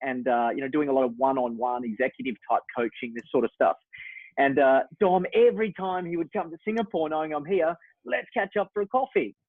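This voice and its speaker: Talking at a fairly quick pace, a man uses a fairly high pitch and very wide pitch swings. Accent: Australian. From Western Australia. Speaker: executive coach. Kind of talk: live webinar. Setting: live online webinar.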